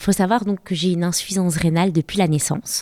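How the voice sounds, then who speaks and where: The voice has a dark, mellow tone and ordinary pitch variation, with a dry, close sound with no echo on a very clean recording with a silent background. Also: woman. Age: 30s. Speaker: photographer and patient association founder. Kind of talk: interview testimony.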